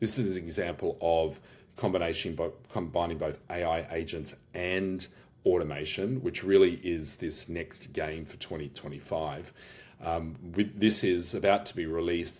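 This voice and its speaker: With an Australian accent, a man talks at a moderate pace in a very deep, low pitch. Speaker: business owner and AI workshop host. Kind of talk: product demo walkthrough. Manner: casual, many fillers and restarts.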